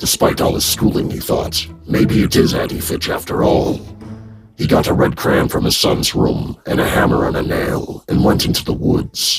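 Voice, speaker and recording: A man's put-on character voice at a moderate pace over clear background music. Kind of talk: scary story reading.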